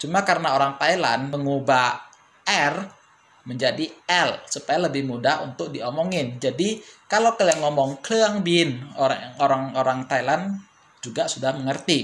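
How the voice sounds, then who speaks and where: A man with a fairly high pitch speaks at a fairly slow pace with lively intonation over light background noise. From Indonesia. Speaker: language teacher YouTuber; language teacher vlogger. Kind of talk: tutorial. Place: home room.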